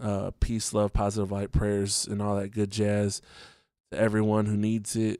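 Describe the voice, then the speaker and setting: A man speaks slowly in a monotone, flat intonation at a fairly low pitch with a dark, mellow tone, on a very clean recording with a silent background. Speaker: podcast host. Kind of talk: casual solo podcast talk. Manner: relaxed, halting with fillers.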